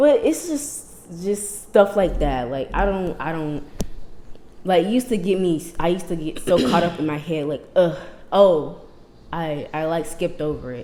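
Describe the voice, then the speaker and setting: A soft-spoken, dark, mellow voice with lively intonation, in an American accent. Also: woman, fairly low pitch for a woman, moderate pace. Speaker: podcast host. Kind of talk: casual chat.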